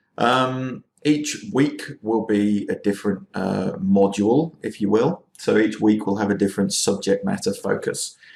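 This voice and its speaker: In an English accent, a man talks at a fairly slow pace with hardly any pauses. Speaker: university lecturer. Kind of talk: recorded lecture. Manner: casual, informal; hesitant, many fillers.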